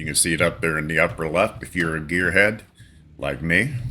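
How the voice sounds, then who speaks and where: A man with a western Pennsylvania accent speaks in a relaxed, bright, sharp tone, his very deep, low pitch varying in ordinary ways. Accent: western Pennsylvania American. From western Pennsylvania, between Erie and Pittsburgh. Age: 60s. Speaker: gaming streamer. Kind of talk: casual gameplay commentary. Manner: casual, relaxed.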